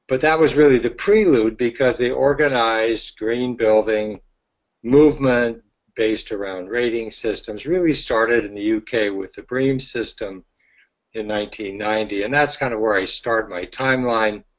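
An ordinary speaking voice at a moderate pace, with ordinary pitch variation. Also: man, medium pitch for a man. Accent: American. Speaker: green building consultant and author. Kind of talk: webinar presentation. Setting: online webinar call.

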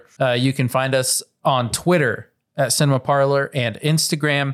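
In a very clean recording with a silent background, a man with an unremarkable speaking voice talks at a fairly high pitch and a moderate pace. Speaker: podcast co-host. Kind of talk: casual banter.

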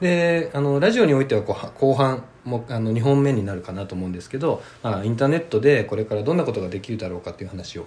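A man's somewhat breathy voice at a very fast pace, with lively intonation and big swings in loudness. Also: medium pitch for a man. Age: 30s. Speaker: podcast host. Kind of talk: casual chat.

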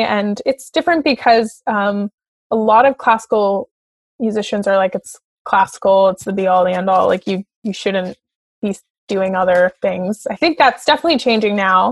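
With a Canadian accent, a plain, everyday voice speaks at a moderate pace with ordinary pitch variation, in a dry, close sound with no echo. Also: woman. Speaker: opera singer. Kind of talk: casual chat.

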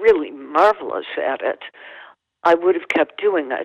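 With an American accent, a woman talks fairly slowly, her pitch swinging very widely, in a dry, close sound with no echo. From US Midwest, Chicago suburbs. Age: 70s. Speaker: author. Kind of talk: interview. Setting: phone call.

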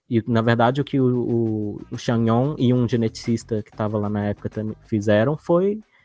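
A man at medium pitch and moderate pace, fairly even intonation and big swings in loudness, dry, close sound with no echo and music in the background. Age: 30s. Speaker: geneticist and biologist. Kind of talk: casual chat.

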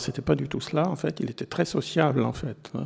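A man's voice has a dark, mellow tone with vocal fry. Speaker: philosophy professor. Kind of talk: public talk on philosophy. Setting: library event with audience.

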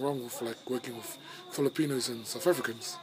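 Music plays behind a man whose speech moves at a fairly quick pace. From New Zealand. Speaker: podcast host. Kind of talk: casual chat.

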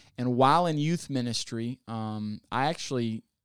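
A plain, everyday voice from a man at medium pitch, with an American accent and ordinary pitch variation, dry and close with no echo, on a very clean recording with a silent background. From US South, Ozarks. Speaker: pastor, church planter. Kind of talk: interview.

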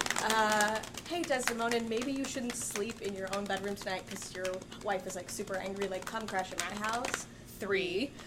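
Against noticeable background noise, a woman talks at a moderate pace with a medium pitch and ordinary pitch variation. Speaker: stage actor. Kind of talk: casual chat. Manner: pauses a lot between words.

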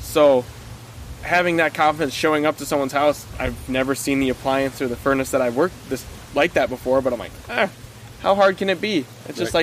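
A man with a northern Minnesota accent, fairly high pitch with ordinary variation, a fairly quick pace, and noticeable background noise. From small town in northern Minnesota. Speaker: summer camp counselor, podcast guest. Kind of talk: casual conversational.

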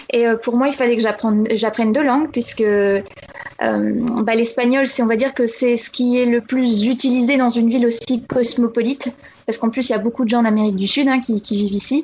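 Noticeable background noise sits behind a woman with a fairly high pitch. She speaks at a moderate pace, monotone and flat, with very even loudness. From Normandy, France. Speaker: expatriate correspondent. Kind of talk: interview. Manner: halting.

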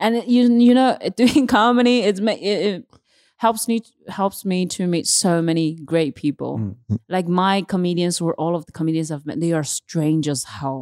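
On a very clean recording with a silent background, a woman with a Chinese accent speaks at a fairly low pitch with lively intonation. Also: moderate pace. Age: 20s. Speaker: stand-up comedian. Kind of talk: casual chat.

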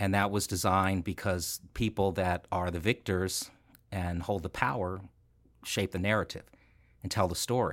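A man with an American accent speaks in a very deep, low pitch at a moderate pace, his intonation monotone and flat. The recording is very clean, with a silent background. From California. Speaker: nonprofit foundation leader. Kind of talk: interview.

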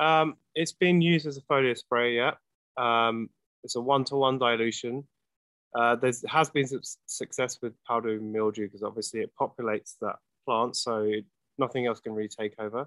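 The sound is dry and close with no echo as a man with an American accent talks at a moderate pace, medium pitch and ordinary pitch variation. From London, England. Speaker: product company representative. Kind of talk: casual chat.

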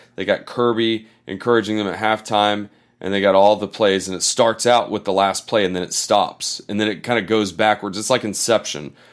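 Recorded very cleanly against a silent background, a man with an American accent and a fairly low pitch, an unremarkable speaking voice, talks at a fairly quick pace with fairly even intonation and hardly any pauses. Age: 40s. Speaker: sports podcast host. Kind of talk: casual chat.

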